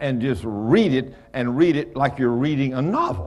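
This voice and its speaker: The pace is fairly slow. The speaker is a man. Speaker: pastor. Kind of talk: sermon. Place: church.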